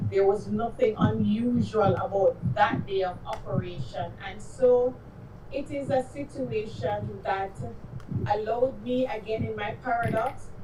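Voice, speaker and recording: Speaking at a fairly slow pace in a strong Jamaican accent, the voice comes through noticeable background noise. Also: woman. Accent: thick Jamaican. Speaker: activist, family member of police violence victim. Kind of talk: public speech.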